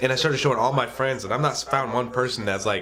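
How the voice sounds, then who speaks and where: A man with an American accent speaks at a fairly quick pace in an ordinary speaking voice of medium pitch. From US South, Nebraska. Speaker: comedy podcast host. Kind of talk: interview.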